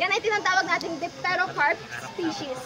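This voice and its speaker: A woman uses a raised, projected voice at an extremely high pitch. She speaks fairly quickly over noticeable background noise. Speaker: tour guide. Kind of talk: guided tour talk. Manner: halting.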